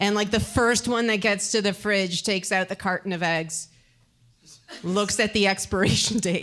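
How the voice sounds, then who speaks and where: A woman with a plain, everyday voice speaks at medium pitch and a moderate pace, with fairly even intonation and very even loudness. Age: 30s. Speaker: stand-up comedian. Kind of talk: stand-up. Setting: stage with audience.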